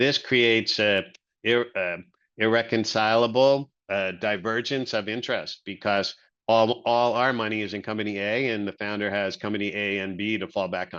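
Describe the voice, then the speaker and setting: With an unremarkable speaking voice, a man talks at a moderate pace, fairly low in pitch with fairly even intonation, over a quiet background. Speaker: venture capital investor. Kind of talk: webinar presentation.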